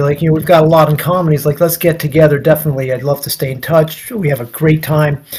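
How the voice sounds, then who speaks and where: A man's fairly high voice at a very fast pace. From US Northeast, New York (Nyack). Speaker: guest on interview show. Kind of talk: casual storytelling interview. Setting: livestream. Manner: repetitive, halting false starts.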